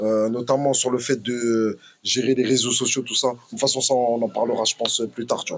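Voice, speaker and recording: A man talks in a flat monotone at a medium pitch, keeping a moderate pace. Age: 30s. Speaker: professional boxer and former rapper. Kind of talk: podcast interview. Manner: casual, many fillers.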